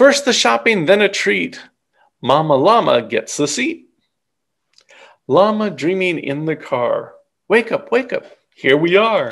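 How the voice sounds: A man speaks slowly at a high pitch, with vocal fry and a fairly bright tone. His pitch swings widely, and his pauses are long and frequent.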